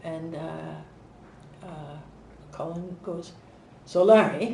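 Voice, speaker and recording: There is noticeable background noise. A woman with a Canadian accent speaks at a medium pitch. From Montreal, Canada. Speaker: mental health advocate and author. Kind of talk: interview answer. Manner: casual, conversational.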